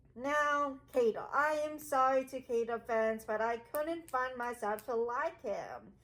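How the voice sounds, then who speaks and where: A woman speaks loudly at a high pitch, at a fairly slow pace with hardly any pauses. Her pitch varies an ordinary amount. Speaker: gaming video creator. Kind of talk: casual vlog commentary. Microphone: muffled by face mask.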